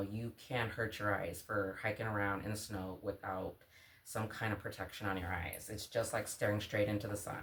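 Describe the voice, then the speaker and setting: A soft-spoken woman at a moderate pace. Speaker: outdoor vlogger. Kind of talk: casual gear show-and-tell vlog. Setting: at home early morning. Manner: quiet, soft-spoken.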